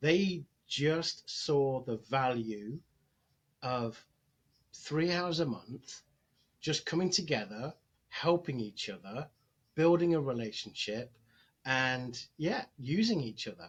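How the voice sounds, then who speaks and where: This man has a Nottingham accent and a fairly high pitch. His voice is somewhat breathy, with lively intonation. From England, Nottingham. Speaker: chamber of commerce executive director. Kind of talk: podcast interview. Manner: halting, many fillers.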